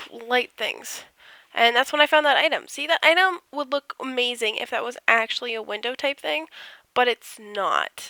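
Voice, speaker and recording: A woman with a high pitch and ordinary pitch variation is heard in a dry, close sound with no echo. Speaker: gaming YouTuber. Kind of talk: casual voice-over commentary of a build. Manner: casual, hesitant with fillers.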